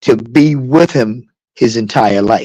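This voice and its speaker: This man's voice has a dark, mellow tone and sits at a medium pitch, with ordinary pitch variation. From New York City (Harlem / South Bronx). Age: 70s. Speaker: DJ. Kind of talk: interview.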